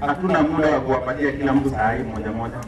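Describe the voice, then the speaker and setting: A man's voice with ordinary pitch variation, a fairly quick pace and noticeable background noise. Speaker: event emcee. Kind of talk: event announcement. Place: open country.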